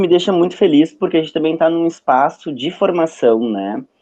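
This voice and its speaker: A man with lively intonation. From southern Brazil, Porto Alegre. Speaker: psychologist and lecturer. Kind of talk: online lecture. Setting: video call. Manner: casual, hesitant with fillers.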